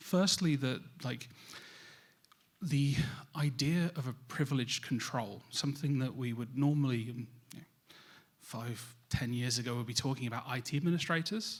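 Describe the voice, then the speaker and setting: A man with a British accent speaks at a moderate pace, his voice somewhat breathy. He leaves long, frequent pauses. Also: medium pitch for a man, ordinary pitch variation, very clean recording, silent background. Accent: British accent noted by himself. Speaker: cybersecurity vendor specialist, conference speaker. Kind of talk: conference presentation.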